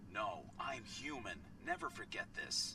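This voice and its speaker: A man's put-on character voice at a fairly slow pace, over loud background noise. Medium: video game. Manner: formal, measured.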